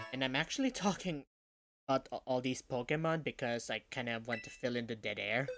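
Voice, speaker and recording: Fairly quick speech over music in the background. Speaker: video game streamer. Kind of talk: casual livestream commentary. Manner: stuttering, self-correcting; uneven pace, sometimes too fast.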